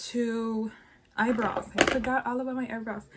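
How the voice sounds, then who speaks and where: A speaker with an American accent talks in monotone, flat intonation. Noticeable background noise runs underneath. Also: woman. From Los Angeles. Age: 20s. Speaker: beauty vlogger. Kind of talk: casual makeup review to camera.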